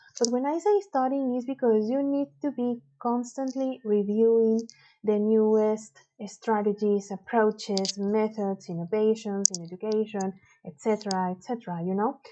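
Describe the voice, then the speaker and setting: A woman speaks with a Spanish accent at a moderate pace. Her pitch is fairly high for a woman, with ordinary pitch variation. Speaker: university teacher. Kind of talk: lecture. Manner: hesitant, many fillers.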